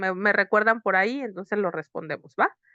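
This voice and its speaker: In a quiet background with a dry, close sound and no echo, a woman of medium pitch speaks at a fairly quick pace with ordinary pitch variation. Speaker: psychotherapist teaching workshop. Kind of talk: online lecture. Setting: online video session. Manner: fast.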